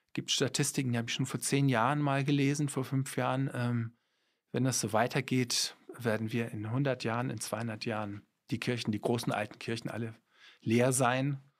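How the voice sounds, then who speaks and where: A monotone, flat delivery at a moderate pace, in a very clean recording with a silent background. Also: man, medium pitch for a man. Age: 50s. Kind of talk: interview.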